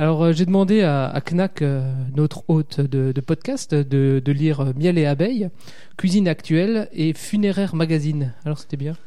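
Speaking with an Alsatian accent, a man uses a dark, mellow tone at a fairly high pitch for a man, keeping a moderate pace and ordinary pitch variation. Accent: Alsatian, sing-song. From southern Alsace. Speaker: podcaster. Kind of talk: casual chat.

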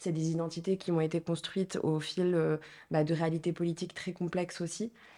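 A woman speaks in a dark, mellow tone at a fairly low pitch, with monotone, flat intonation and a fairly quick pace. The recording is very clean, with a silent background. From Morocco, Marrakech. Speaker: association co-founder. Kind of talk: interview.

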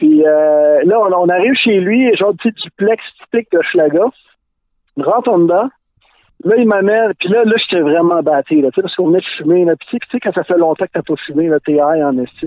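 The speaker has a Quebec accent. The pace is moderate. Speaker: podcast collaborator. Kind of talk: casual chat. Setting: outdoors.

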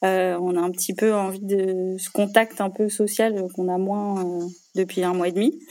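A dark, mellow tone, monotone and flat, at a fairly slow pace. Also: woman, medium pitch for a woman. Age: 30s. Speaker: general practitioner. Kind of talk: interview testimony. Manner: hesitant, many fillers.

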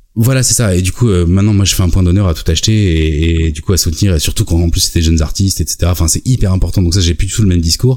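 A man speaks at a very fast pace in a very deep, low pitch, with a dark, mellow tone, a somewhat breathy quality, ordinary pitch variation and hardly any pauses. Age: 40s. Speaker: YouTube video maker. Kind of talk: casual chat.

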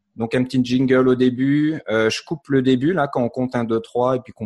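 Dry, close sound with no echo, ordinary pitch variation, and a fairly quick pace. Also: man. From France, Paris area. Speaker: software developer and podcast co-host. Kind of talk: casual chat.

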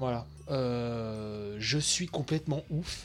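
A man's somewhat breathy voice comes through on a very clean recording with a silent background. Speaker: video game news podcaster. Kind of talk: live commentary. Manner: slurred articulation.

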